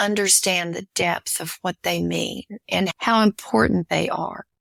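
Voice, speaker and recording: In a dry, close recording with no echo and a very clean, silent background, a woman with an American accent speaks at a very slow pace. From Missouri Ozarks. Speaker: adventurer and author. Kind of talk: interview conversation.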